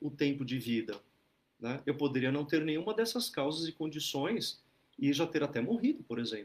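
A man speaks at a fairly high pitch that swings very widely. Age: 40s. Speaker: Buddhist teacher leading an online group. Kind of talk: dharma talk. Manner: relaxed, conversational with many fillers.

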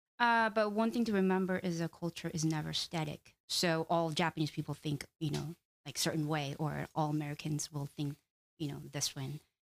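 A woman speaks with a Korean accent. Her pitch is very deep and low, with ordinary variation. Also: moderate pace. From South Korea. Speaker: doctoral student and cultural training director. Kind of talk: casual chat. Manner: halting.

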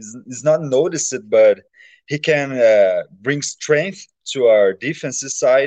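Recorded dry and close with no echo, a man with a Brazilian accent talks with ordinary pitch variation. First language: Portuguese. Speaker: fan. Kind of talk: casual chat. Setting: video call. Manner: halting.

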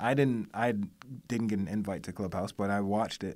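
In a very clean recording with a silent background, a man with a fairly low voice talks at a very fast pace with ordinary pitch variation. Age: 40s. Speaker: creative network co-founder. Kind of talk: casual chat. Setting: studio.

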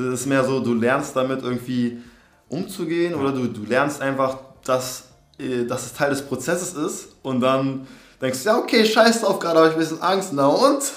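The intonation is lively and the pace moderate. A man with a fairly high voice is heard with audible room echo. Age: 20s. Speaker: aspiring actor. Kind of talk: casual interview. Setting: in person, same room as host. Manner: halting, many fillers.

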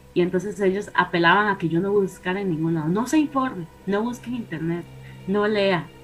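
Music plays behind a woman who speaks very fast. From Costa Rica. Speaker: paranormal guest. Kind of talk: storytelling.

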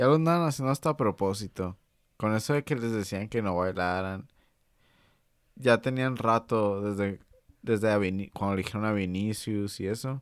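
A man talks with a Mexican accent at a fairly low pitch. The recording is very clean with a silent background. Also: ordinary pitch variation, moderate pace. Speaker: football podcast host. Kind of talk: casual chat. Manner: animated.

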